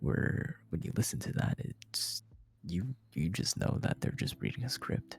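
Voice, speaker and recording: Quiet and fairly low-pitched, a man talks at a fairly slow pace with vocal fry and very wide pitch swings. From Taiwan. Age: 20s. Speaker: streamer and content creator. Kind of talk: podcast interview. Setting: home streaming setup. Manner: kept low and quiet.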